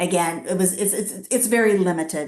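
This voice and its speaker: Against a quiet background, a woman with an unremarkable speaking voice talks at a moderate pace and a medium pitch. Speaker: nonprofit CEO. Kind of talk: webinar presentation. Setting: video webinar.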